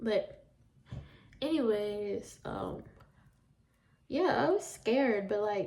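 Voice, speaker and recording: A woman with a Southern US accent talks at a fairly high pitch. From US South. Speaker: vlogger. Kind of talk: casual storytime chat. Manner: animated.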